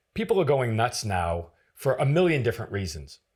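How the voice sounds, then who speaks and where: In a very clean recording with a silent background, a man at medium pitch speaks at a fairly quick pace, somewhat breathy, with very wide pitch swings. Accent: American. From northern New Hampshire, US. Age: 60s. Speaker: former federal agent and author. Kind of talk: interview conversation. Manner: halting, repeats words.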